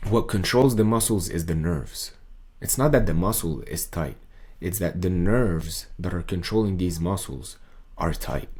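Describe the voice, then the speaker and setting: The voice moves at a moderate pace and carries vocal fry. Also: man, very deep, low pitch for a man. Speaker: voice coach. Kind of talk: casual talk to camera, voice tutorial.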